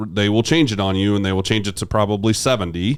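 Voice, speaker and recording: This man has an unremarkable speaking voice, fairly low in pitch, with ordinary pitch variation. He talks at a fairly quick pace on a very clean recording with a silent background. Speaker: financial advisor. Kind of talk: casual chat.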